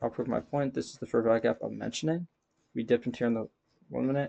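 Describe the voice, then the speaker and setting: A man talks at a very fast pace in a dark, mellow tone at medium pitch, with a dry, close sound and no echo. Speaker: day trader. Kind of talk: screen-share trade recap. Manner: casual, rambling with fillers.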